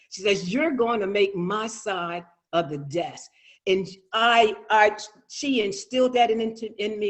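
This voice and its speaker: A high-pitched man with an American accent, at a moderate pace and with ordinary pitch variation. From Lewes, Delaware, US. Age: 60s. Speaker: educator. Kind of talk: personal testimony at commission meeting.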